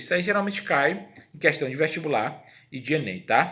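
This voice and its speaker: Lively intonation marks this man's fairly high voice, which has a bright, sharp tone. He talks at a fairly quick pace, with audible room echo. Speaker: history teacher. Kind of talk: lecture.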